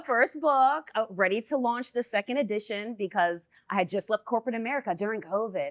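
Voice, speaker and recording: A woman's fairly high voice, an unremarkable speaking voice, with hardly any pauses and a dry, close sound with no echo. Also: ordinary pitch variation, fairly quick pace. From Germany, raised in the United States. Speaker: children's book author. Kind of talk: interview answer.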